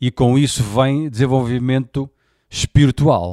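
A man speaks very slowly in a dark, mellow tone. The very clean recording has a silent background and a dry, close sound with no echo. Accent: European Portuguese. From Portugal. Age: 40s. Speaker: podcast host. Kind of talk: personal monologue. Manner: casual, slangy.

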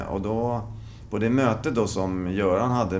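A man speaks at a fairly low pitch, with audible echo from the room around him. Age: 50s. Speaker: veteran fencer. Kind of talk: interview.

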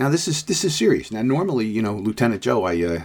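A man's normal speaking voice, fairly low in pitch, at a fairly quick pace. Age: 60s. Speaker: podcast host, police lieutenant. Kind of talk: solo commentary monologue.

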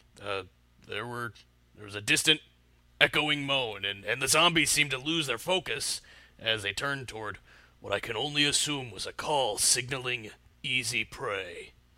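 A man's put-on character voice at medium pitch, full of long, frequent pauses, in a very clean recording with a silent background. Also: moderate pace. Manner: rambling, hesitant, boastful.

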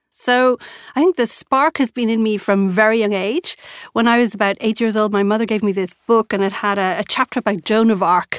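Speaking at a fairly quick pace with an Irish accent, a woman with a fairly high pitch and ordinary pitch variation keeps a very even loudness in a very clean recording with a silent background and a dry, close sound with no echo. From Ireland. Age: 40s. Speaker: entrepreneur. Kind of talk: interview. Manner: animated.

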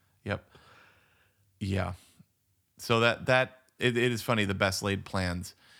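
A man with a bright, sharp tone and fairly low pitch speaks very slowly, using fairly even intonation and long, frequent pauses. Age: 40s. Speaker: podcast co-host. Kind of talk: casual chat. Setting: remote recording.

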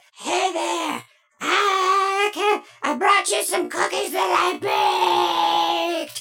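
The pace here is very slow. The speaker uses a put-on character voice. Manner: friendly, gentle.

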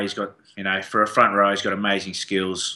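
Against a quiet background, a man with a very deep, low pitch and an Australian accent talks at a fairly quick pace in a bright, sharp tone. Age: 30s. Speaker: professional rugby player. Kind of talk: casual interview. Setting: studio.

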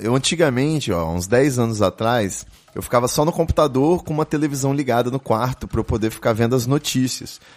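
Lively intonation carries a man's medium-pitched voice at a moderate pace with hardly any pauses, against noticeable background noise. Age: 30s. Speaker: podcast host. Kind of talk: casual chat. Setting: live stream studio.

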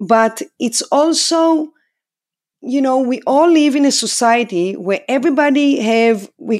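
A woman talks with an Israeli accent. Her intonation is lively. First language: Hebrew. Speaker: dog trainer. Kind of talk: interview. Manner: animated.

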